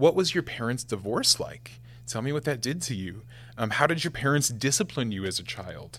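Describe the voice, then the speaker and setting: In an ordinary speaking voice, a man with an American accent talks at a moderate pace and medium pitch with lively intonation, in a very clean recording with a silent background. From Nebraska, US Midwest. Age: 20s. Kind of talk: casual chat.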